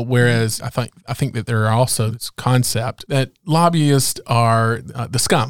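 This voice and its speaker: In an unremarkable speaking voice, a man at a medium pitch talks with hardly any pauses and ordinary pitch variation, the sound dry and close with no echo. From rural North Carolina. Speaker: podcast host, business advocate. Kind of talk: interview.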